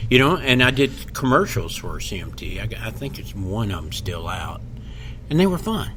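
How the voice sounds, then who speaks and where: A man with an American accent speaks at a moderate pace with big swings in loudness. Audible room echo and noticeable background noise fill the recording. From Kentucky, Louisville. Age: 60s. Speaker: comedian. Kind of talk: casual chat. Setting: podcast interview.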